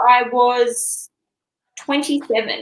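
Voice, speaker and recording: A woman with an Australian accent, at a very slow pace. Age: 30s. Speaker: comedian. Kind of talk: casual chat. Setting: studio.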